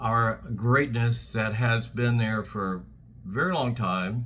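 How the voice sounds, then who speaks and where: With an American accent, a man speaks at a medium pitch in a bright, sharp tone. His pace is very slow. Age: 70s. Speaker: political commentator. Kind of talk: political rant. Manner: animated.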